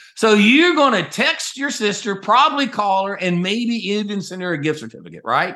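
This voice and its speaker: A man talks in a raised, projected voice with a high pitch and a bright, sharp tone. His intonation is lively, his pace moderate, and he hardly pauses at all. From US South, North Carolina. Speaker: company CEO, Navy veteran. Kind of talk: interview.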